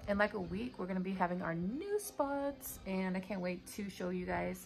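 Faint music plays in the background as a woman speaks at a moderate pace. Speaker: vlogger. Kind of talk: casual vlog chat. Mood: relaxed, cheerful. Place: home room. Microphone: phone near.

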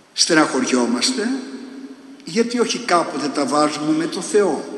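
In a room with audible echo, a man talks at a very slow pace, his pitch swinging very widely. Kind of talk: sermon. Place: church. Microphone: podium.

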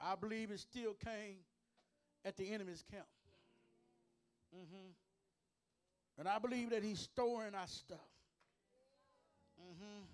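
This man has a high pitch and an energetic tone, speaking at a fairly slow pace. His delivery is broken by long, frequent pauses. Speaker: preacher. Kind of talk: sermon delivered to a congregation. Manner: energetic, call-and-response preaching. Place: church. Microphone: handheld.

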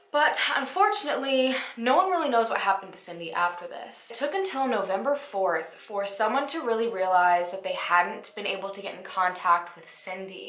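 Amid audible room echo, a woman talks fairly quickly with hardly any pauses. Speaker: true crime youtuber. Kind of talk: storytelling narration to camera. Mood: serious, somber. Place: home room.

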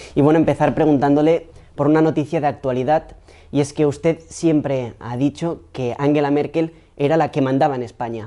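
A dark, mellow tone at a fairly quick pace. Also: man, fairly high pitch for a man, fairly even intonation, quiet background. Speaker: interviewer, podcast host. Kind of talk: interview question. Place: home room.

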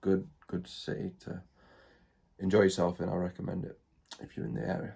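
Against a quiet background, a man with a very deep, low pitch speaks in a weary tone with vocal fry and lively intonation. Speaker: vlogger. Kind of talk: casual vlog chat. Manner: slow, weary hungover voice. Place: home room. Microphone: phone near.

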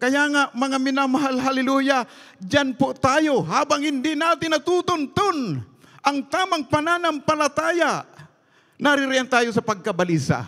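A man speaks in a raised, projected voice with a bright, sharp, animated tone. His pace is fairly slow and his loudness very even, with ordinary pitch variation against a quiet background. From Philippines. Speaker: preacher. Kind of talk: sermon. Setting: church. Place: church. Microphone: handheld.

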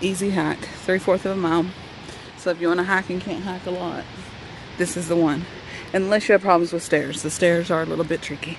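A woman speaks in a monotone, flat intonation. The sound is dry with no echo, and noticeable background noise is present. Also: fairly low pitch for a woman. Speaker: vlogger hiker. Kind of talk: casual vlog chat. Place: forest. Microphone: phone near.

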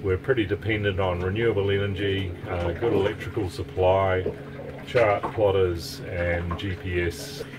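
Against noticeable background noise, a man with a fairly low pitch talks at a fairly slow pace. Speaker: sailing vlogger. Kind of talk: casual vlog chat. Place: boat. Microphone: phone near.

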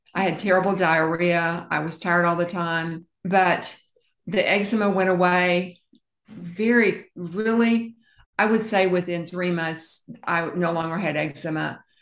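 A woman speaks at a fairly low pitch with fairly even intonation and a fairly slow pace. The background is quiet, though the room echo is audible. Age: 70s. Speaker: interviewee sharing health journey; interview guest. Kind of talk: interview testimony. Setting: interview. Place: home room. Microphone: video call.

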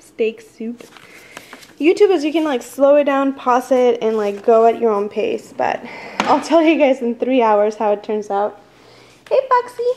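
A woman at a high pitch, with ordinary pitch variation and a fairly slow pace, over light background noise. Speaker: vlogger. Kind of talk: casual vlog chat. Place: home room. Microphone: phone near.

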